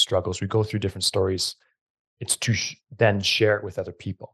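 A man talks in a fairly low pitch with fairly even intonation, somewhat breathy. The sound is dry and close, with no echo. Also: quiet background. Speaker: podcast host and gym owner. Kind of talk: casual interview.

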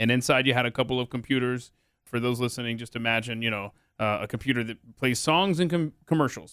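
Very fast and with an American accent, a man speaks with ordinary pitch variation. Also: medium pitch for a man. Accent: none noticeable per guest. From Atlanta, US South. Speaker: podcast host and talk radio personality. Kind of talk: casual interview chat.

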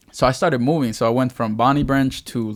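A man with a Salvadoran accent at a moderate pace, fairly even intonation, in a very clean recording with a silent background. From El Salvador. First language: Spanish. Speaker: youth pastor. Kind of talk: testimony.

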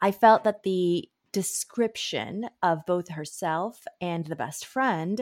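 The woman has an ordinary speaking voice, medium in pitch, with lively intonation and a dry, close sound with no echo. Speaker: literary agent. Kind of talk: casual chat.

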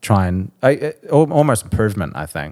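Heard on a very clean recording with a silent background, a man with a New Zealand accent speaks with lively intonation. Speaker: musician. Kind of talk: casual chat.

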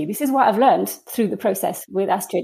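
Her pitch swinging very widely, a woman speaks in a dark, mellow tone. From France. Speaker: dance curator and dramaturg. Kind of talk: interview.

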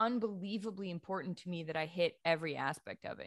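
In a normal speaking voice, a woman with an American accent talks at a fairly low pitch and moderate pace with ordinary pitch variation. The recording is very clean, with a silent background. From New England (Boston area and Maine). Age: 30s. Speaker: sports journalist. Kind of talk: interview.

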